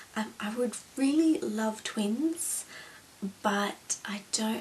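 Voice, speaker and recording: There is noticeable noise in the background. The pitch rises and falls in an ordinary way. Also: woman. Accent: Australian. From Australia (New South Wales). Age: 20s. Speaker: beauty and lifestyle vlogger. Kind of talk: casual chat. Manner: hesitant, many fillers.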